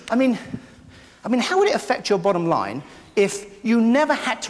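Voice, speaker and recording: In an English accent, a man races along at a very fast pace with very wide pitch swings. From London, England. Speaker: keynote speaker, memory consultant. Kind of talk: live keynote speech. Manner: funny, interactive.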